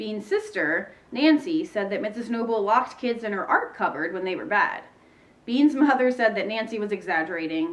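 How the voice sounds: Lively intonation across a natural reading voice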